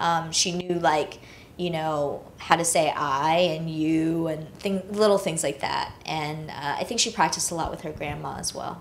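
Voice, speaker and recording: A woman's fairly low voice with an American accent, fairly even intonation and a moderate pace, plus audible room echo. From China, then raised in US from age six. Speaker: film director. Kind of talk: interview on stage. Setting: stage with audience. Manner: casual, many fillers.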